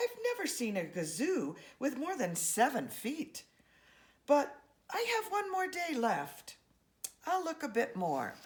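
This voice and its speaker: A woman in a put-on character voice, high-pitched and fairly slow, with long, frequent pauses. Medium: read story.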